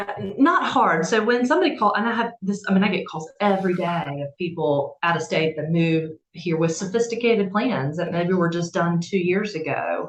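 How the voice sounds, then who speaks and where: A woman with a slight Southern US accent, medium pitch, moderate pace and ordinary pitch variation. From South Carolina, Camden. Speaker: estate attorney. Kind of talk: interview.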